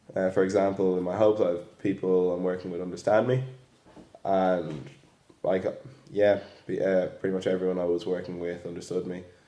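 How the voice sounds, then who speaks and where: Slow to continue, with long, frequent pauses, a man with an Irish accent speaks at a moderate pace in a very deep, low pitch, with a dark, mellow tone and fairly even intonation. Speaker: student teacher. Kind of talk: reflective monologue.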